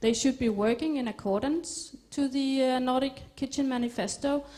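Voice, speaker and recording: This woman has a high voice with a dark, mellow tone. She talks at a fairly slow pace with ordinary pitch variation. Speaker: food scientist. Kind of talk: lecture.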